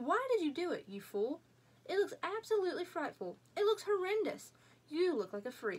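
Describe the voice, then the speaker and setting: A woman puts on a character voice that is extremely high and shrill. Her pitch swings very widely at a moderate pace. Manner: shrieking, scolding.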